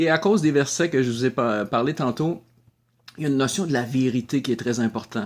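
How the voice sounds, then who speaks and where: On a very clean recording with a silent background, a man with a Quebec accent speaks at medium pitch with ordinary pitch variation. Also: fairly quick pace. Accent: Québécois French. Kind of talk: video blog talk.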